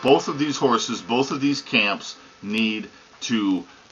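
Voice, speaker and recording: Lively intonation runs through a man's speech. Noticeable background noise can be heard. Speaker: horse racing commentator. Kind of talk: casual opinionated commentary to camera. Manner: conversational, emphatic.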